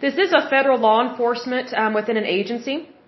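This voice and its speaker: A woman speaks with an American accent. Her high pitch shows ordinary variation. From Oklahoma, US. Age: 30s. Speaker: podcast host. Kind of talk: solo podcast monologue, commentary. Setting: home, washing machine noise in background. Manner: chatty, conversational, opinionated.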